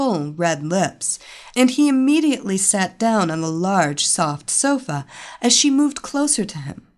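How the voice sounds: The speaker uses a natural reading voice.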